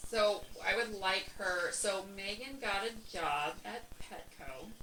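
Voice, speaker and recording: Speaking very slowly at a medium pitch with ordinary pitch variation, a woman is heard over noticeable background noise. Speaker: podcast co-host. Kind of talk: casual chat. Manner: loud.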